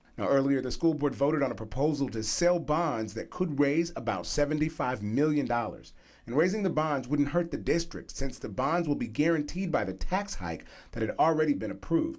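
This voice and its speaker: Vocal fry marks this man's fairly high voice. He talks at a fairly quick pace with lively intonation. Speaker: news anchor and reporter. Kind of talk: TV news report narration.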